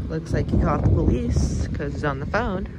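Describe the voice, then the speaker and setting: The recording sounds dry with no echo but carries loud background noise. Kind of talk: casual commentary to camera. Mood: slightly surprised, hesitant. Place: street. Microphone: phone near.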